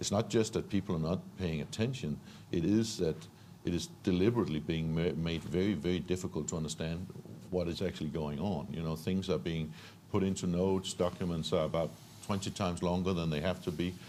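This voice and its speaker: With a Danish accent, a man speaks at a fairly quick pace in a very deep, low pitch, his tone dark and mellow and his pitch varying in an ordinary way. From Denmark. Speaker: entrepreneur. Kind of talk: panel discussion. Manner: halting, many repetitions.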